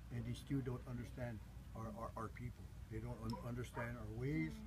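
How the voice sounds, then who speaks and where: A man with an American accent is heard against noticeable background noise. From South Dakota, US. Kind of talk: interview conversation. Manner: halting, many fillers. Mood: earnest, grave. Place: tent. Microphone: camera far.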